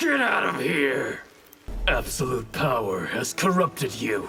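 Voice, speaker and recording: Over music in the background, a man does a raspy, put-on character voice at medium pitch and a fairly slow pace. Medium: video game. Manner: stern, cold.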